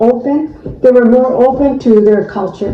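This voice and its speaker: A woman's high-pitched voice at a moderate pace with ordinary pitch variation, amid audible room echo and noticeable background noise. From Arizona, Chandler. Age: 80s+. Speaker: interviewee. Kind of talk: interview.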